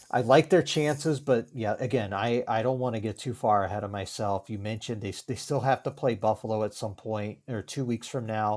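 In an American accent, a normal speaking voice with fairly even intonation comes through on a very clean recording with a silent background. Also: man. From Virginia. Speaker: sports writer and podcaster. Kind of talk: casual chat.

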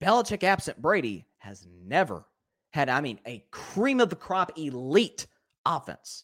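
With vocal fry and a fairly high pitch, a man speaks at a fairly slow pace, his pitch swinging very widely and his loudness shifting greatly. The recording is very clean, with a silent background. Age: young. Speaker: sports podcast host. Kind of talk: live sports talk show. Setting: livestream.

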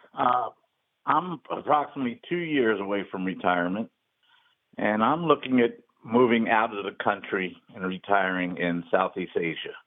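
With an unremarkable speaking voice, a man talks at a moderate pace and medium pitch with lively intonation. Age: 60s. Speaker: caller. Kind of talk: phone-in call.

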